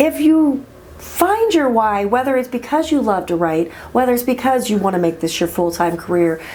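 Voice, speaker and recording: Quiet and high-pitched, a woman talks with very wide swings in pitch. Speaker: indie author. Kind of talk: casual talk to camera.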